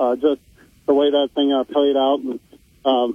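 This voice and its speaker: A man speaks at a fairly quick pace in a fairly high pitch, with a plain, everyday voice. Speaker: co-host sports analyst. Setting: phone line from Des Moines.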